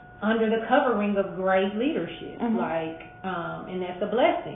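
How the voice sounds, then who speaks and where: Against noticeable background noise, a woman with an American accent speaks at a fairly slow pace in a fairly high pitch. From St. Louis, Missouri. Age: 40s. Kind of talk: interview answer.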